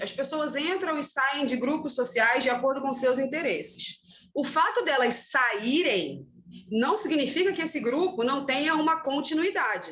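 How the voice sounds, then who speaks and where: A woman speaks with a high pitch and lively intonation at a fairly slow pace. Her tone is bright and sharp. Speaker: teacher. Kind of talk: lecture. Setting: classroom, recorded class.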